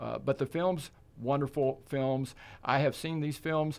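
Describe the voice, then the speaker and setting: A man talks at a moderate speed, and the recording is very clean with a silent background. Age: 60s. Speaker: film festival chair of a land trust. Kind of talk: interview. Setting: studio. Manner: animated.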